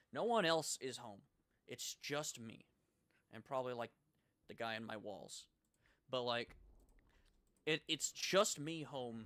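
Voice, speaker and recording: A man's medium-pitched voice at a moderate pace, lively in intonation, with a dry, close sound and no echo. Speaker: gaming streamer. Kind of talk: casual live stream chat. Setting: home, live stream. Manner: loud.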